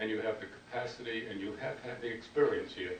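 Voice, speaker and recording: Someone with an American accent talks at a moderate pace with fairly even intonation, amid noticeable background noise and audible room echo. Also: man. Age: 80s+. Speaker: foundation founder, former legislator. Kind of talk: after-dinner speech. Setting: dinner event with audience. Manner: halting, many repetitions.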